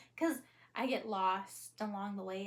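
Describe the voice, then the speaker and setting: This woman's voice is somewhat breathy. She talks at a very slow pace. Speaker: vlogger. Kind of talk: casual vlog monologue. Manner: hesitant, many fillers.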